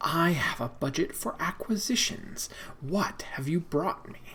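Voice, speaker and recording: In a put-on character voice, the speaker whispers breathily at a moderate pace. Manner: breathy whisper.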